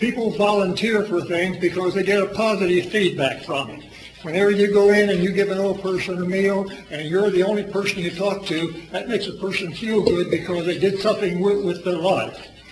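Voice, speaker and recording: Loud and at a high pitch, a man speaks at a moderate pace with fairly even intonation, amid audible room echo and noticeable background noise. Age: 80s+. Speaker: public commenter at city council meeting. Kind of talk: public comment at council meeting. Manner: loud, intense; halting, repetitive.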